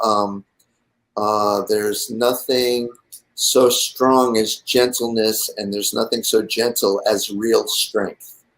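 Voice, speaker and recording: A man talks at a very slow pace. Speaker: designer and musician guest. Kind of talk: talk show interview. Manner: soft-spoken.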